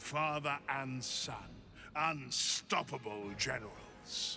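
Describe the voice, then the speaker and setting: Through clear background noise, a man at a medium pitch does a put-on character voice at a very slow pace. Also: ordinary pitch variation. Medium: video game. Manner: commanding, grandiose.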